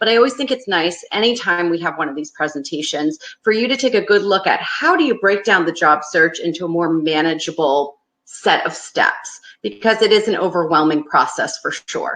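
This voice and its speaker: A woman with a Northeastern US accent talks at a fairly quick pace in a medium pitch with lively intonation. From US Northeast. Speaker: career advice presenter. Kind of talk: webinar presentation. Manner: fast; loose enunciation.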